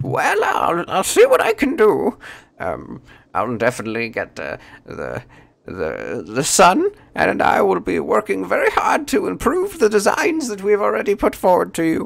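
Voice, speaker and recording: Male speech in a put-on character voice, moderately paced. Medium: actual play. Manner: distracted, agreeable.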